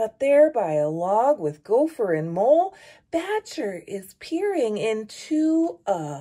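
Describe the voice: Plain reading aloud. The words are simply read out.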